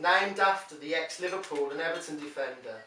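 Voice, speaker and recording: Background noise is noticeable as a man delivers his words at a moderate speed. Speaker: poet. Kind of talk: poetry reading.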